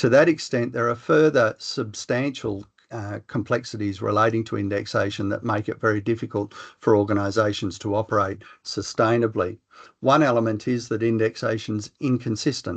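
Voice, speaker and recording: With an Australian accent, a man speaks at a medium pitch over a quiet background. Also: fairly even intonation. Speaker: professor. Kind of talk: lecture. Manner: fast.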